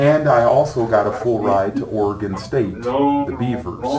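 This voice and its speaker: Noticeable background noise and audible room echo surround a man speaking with an American accent. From California, Sacramento. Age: 60s. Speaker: former football player, motivational speaker. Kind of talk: talk to students, Q&A. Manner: casual, conversational.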